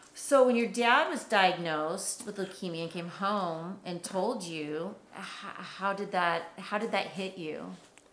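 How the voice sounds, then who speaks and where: A woman speaks at a fairly slow pace with hardly any pauses, medium pitch and ordinary pitch variation. Her loudness swings widely, and there is noticeable background noise. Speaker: interviewer and documentary host. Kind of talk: interview in documentary.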